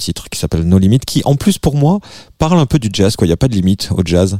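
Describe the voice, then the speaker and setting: The man's voice has a dark, mellow tone and lively intonation. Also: dry, close sound with no echo. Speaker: singer and musician guest. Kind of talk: casual chat, guest presenting favorite tracks. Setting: studio.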